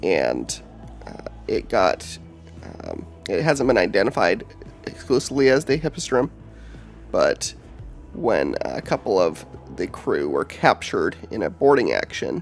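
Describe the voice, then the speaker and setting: With music in the background, a man speaks at a fairly slow pace, leaving long, frequent pauses. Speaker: lore video host. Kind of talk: casual lore narration. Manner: hesitant, many filler words.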